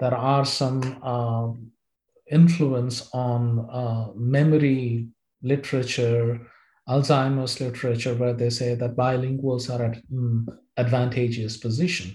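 Slow-paced and somewhat breathy, a man speaks at medium pitch with a dark, mellow tone and monotone, flat intonation. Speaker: professor. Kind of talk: interview. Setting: video call. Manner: formal.

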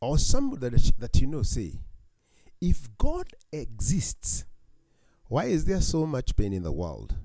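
Speech comes at a very slow pace, with audible echo from the room. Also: man. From Kenya, Highlands. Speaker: pastor. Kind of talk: sermon. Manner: halting.

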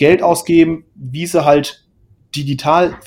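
A man talks at a fairly slow pace. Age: 20s. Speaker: podcast co-host, software developer. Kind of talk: casual chat. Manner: halting, many fillers.

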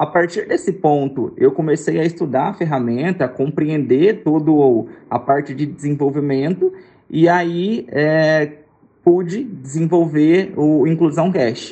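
This is a normal speaking voice with ordinary pitch variation. It moves at a fairly slow pace. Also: man, fairly high pitch for a man. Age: 20s. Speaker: podcast creator and education researcher. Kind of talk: interview.

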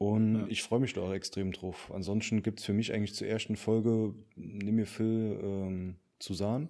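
Fairly low-pitched, dark and mellow male voice with fairly even intonation. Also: moderate pace. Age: 20s. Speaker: podcast co-host. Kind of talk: casual chat.

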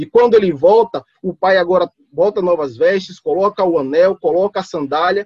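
A man's voice with lively intonation, dry and close with no echo. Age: 30s. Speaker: lay preacher. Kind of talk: teaching.

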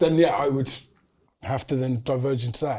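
The voice has a dark, mellow tone and an English accent. It moves at a fairly quick pace. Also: man. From England. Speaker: university student. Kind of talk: casual chat.

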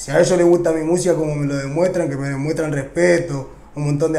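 Audible room echo hangs on this man's voice. Noticeable background noise also comes through. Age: 20s. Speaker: urban music artist. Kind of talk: interview. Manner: casual slangy speech with frequent fillers.

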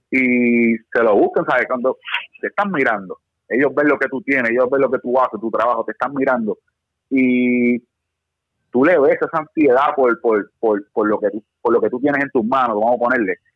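A man's unremarkable speaking voice at medium pitch, moderate in pace, with ordinary pitch variation. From Puerto Rico. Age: 30s. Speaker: firearms instructor. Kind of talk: casual chat.

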